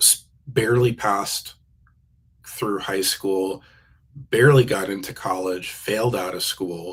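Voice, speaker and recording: This is a man talking at a very slow pace. His pitch varies in an ordinary way. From New Jersey, US East Coast. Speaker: keynote speaker. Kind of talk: interview. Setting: live video stream. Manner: halting, with repeated words and fillers.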